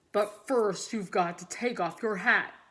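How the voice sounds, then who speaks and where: A woman speaks in a put-on character voice at a medium pitch. Her intonation stays fairly even at a moderate pace. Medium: read story. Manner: friendly, easygoing.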